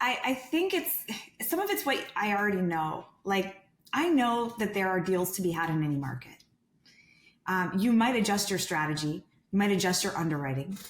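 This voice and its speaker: A woman with a medium pitch speaks at a moderate pace with lively intonation. Her loudness stays very even, and room echo can be heard. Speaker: real estate sales director. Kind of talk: podcast interview.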